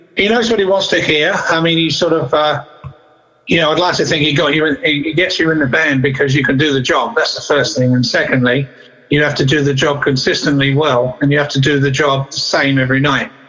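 Over noticeable background noise, a man with an Essex accent talks at a fairly quick pace and a fairly high pitch. His loudness is very even, with ordinary pitch variation. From England, Southend-on-Sea, Essex. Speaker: rock drummer and studio producer. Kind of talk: interview.

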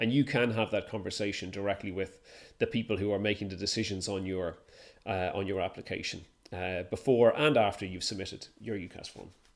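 A man speaks with an Irish accent at a fairly quick pace, his pitch fairly low. His intonation is fairly even, and the recording is very clean with a silent background. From Ireland. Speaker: university admissions selector. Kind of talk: casual chat. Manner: halting.

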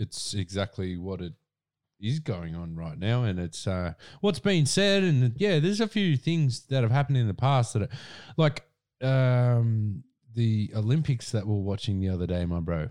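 Heard on a very clean recording with a silent background, a man with an Australian accent talks at a fairly slow pace in a medium pitch, using very wide pitch swings. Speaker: podcast co-host. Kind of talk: casual chat; reading aloud.

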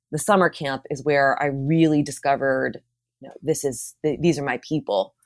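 A woman's very deep, low voice with an American accent, at a moderate pace, with ordinary pitch variation and big swings in loudness. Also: very clean recording, silent background. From Pennsylvania, Philadelphia suburbs. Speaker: communications professional. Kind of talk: casual interview.

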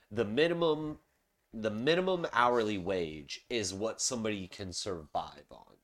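A man with a slight Southern US accent speaks at a medium pitch and a fairly slow pace. His pitch swings very widely, and his loudness shifts in big swings. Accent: general American, little Southern. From Charleston, South Carolina. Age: 30s. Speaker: podcast host. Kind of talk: casual chat. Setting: home recording, beer drinking. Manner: casual, profane.

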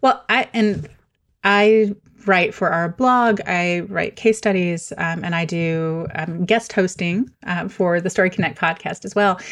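In a plain, everyday voice, a woman with a medium pitch and ordinary pitch variation speaks at a fairly slow pace against a quiet background. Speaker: podcast host and communicator. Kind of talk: casual interview chat.

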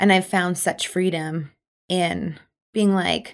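On a very clean recording with a silent background, a woman talks with a slight Canadian Prairie accent. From Manitoba, Canada. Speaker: charity founder, event planner. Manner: loud, animated, assertive.

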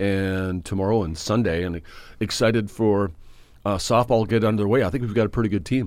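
A man talks at a fairly quick pace in a fairly low pitch. He has an ordinary speaking voice with ordinary pitch variation. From Saskatchewan, Canada. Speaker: radio host, university athletics. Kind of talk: casual sports radio chat.

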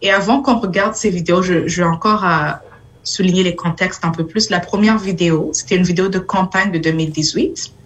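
Moderate-paced speech from a woman at medium pitch, very even in loudness with ordinary pitch variation, over noticeable background noise. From Burundi. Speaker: city councillor. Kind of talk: talk. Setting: video call from home.

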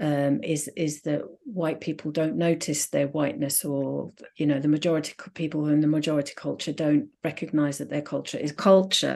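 In a quiet background, a woman speaks at a moderate pace with a very deep, low pitch, a dark, mellow tone and vocal fry. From Finland. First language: Swedish and English. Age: 50s. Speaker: sociologist. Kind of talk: interview. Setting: remote call from home.

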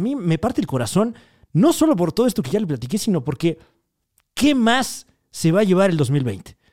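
A man's high-pitched, animated voice with a Mexican accent, very wide pitch swings and a fairly quick pace, in a dry, close sound with no echo on a very clean recording with a silent background. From Mexico. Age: 20s. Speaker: podcast host. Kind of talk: casual monologue.

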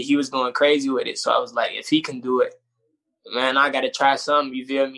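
A man's fairly high, bright, sharp voice with an American accent and monotone, flat intonation. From Chicago. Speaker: rapper. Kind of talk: interview. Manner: casual, laid-back.

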